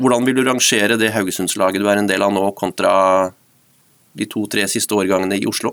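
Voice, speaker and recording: Speaking at a fairly quick pace, a man with a fairly low pitch holds a monotone, flat intonation and very even loudness. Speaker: football podcast host. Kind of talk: interview. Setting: studio.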